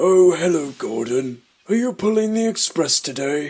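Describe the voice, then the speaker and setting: The speaker is a man using a put-on character voice. His pitch runs high. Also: moderate pace. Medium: fan dub. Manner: polite, gentle.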